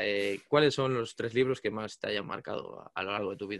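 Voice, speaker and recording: The speaker is a man. The background is quiet. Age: 20s. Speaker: podcast host. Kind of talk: casual interview.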